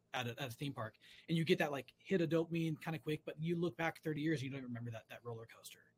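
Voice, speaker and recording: Talking at a very fast pace, a man has a fairly high, somewhat breathy voice. His pitch variation is ordinary. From California. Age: 40s. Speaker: fly-fisherman and hunter. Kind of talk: casual chat.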